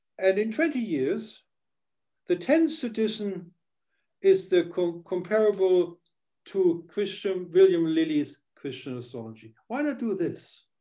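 A man with a German accent speaks fairly slowly in a high voice with very wide pitch swings. His tone is dark and mellow, against a quiet background. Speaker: podcast host; interview host. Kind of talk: interview; interview questions and conversation. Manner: halting. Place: home room. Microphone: headset.

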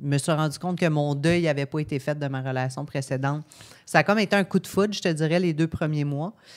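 Very deep, low female voice at a fairly quick pace with fairly even intonation against a quiet background. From Quebec, Gaspésie; Quebec. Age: 30s. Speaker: podcast guest. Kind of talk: casual chat. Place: studio. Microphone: studio mic.

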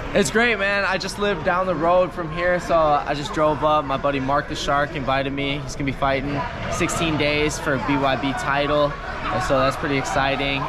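Ordinary pitch variation over loud background noise. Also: man. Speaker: interviewee. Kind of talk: interview answer. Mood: confident, relaxed.

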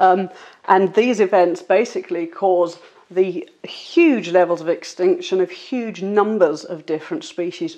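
Over a quiet background, a woman talks at a fairly slow pace. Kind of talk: explanatory interview answer.

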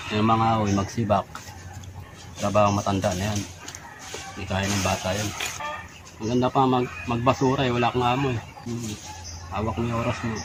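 Noticeable background noise behind a man's medium-pitched, monotone, flat delivery at a fairly quick pace. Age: old. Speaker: laborer. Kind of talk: casual complaint. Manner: halting.

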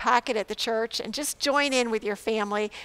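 The pace of this woman's speech is moderate. Her pitch variation is ordinary. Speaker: pastor. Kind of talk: church announcements to online viewers. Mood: warm, welcoming. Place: church.

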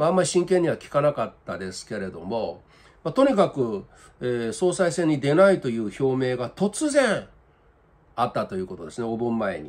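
Talking at a fairly quick pace, a man makes very wide pitch swings and big swings in loudness. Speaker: political commentator. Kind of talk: commentary. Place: home room. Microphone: webcam.

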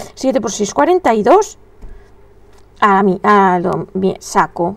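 A woman's animated tone. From Spain. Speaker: crochet teacher and shop owner; crochet livestream host. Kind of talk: live crochet tutorial with chat. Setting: live stream from home. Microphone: webcam.

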